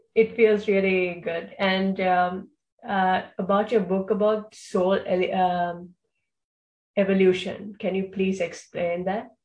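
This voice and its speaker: A woman talks at a very slow pace with a medium pitch. Her somewhat breathy voice has a monotone, flat intonation. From Sri Lanka. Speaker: podcast host. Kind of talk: casual interview. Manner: hesitant, many fillers.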